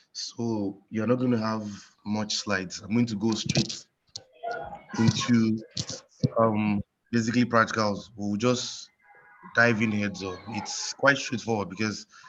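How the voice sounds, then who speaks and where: Music plays in the background as the speech moves at a fairly slow pace with fairly even intonation. Long, frequent pauses break it up. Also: man, fairly low pitch for a man. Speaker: course instructor. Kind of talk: online tutorial. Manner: hesitant, many fillers.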